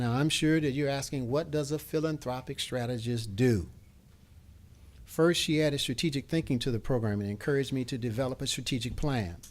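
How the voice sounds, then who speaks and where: A normal speaking voice moves at a fairly quick pace with ordinary pitch variation, on a very clean recording with a silent background. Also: man, medium pitch for a man. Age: 60s. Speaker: professor of preaching and keynote speaker. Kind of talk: keynote lecture. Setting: symposium lunch with audience.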